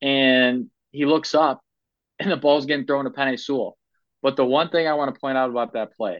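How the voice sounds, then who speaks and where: A male speaker with an American accent. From Ohio. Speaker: sports podcast host. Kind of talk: casual chat. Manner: animated.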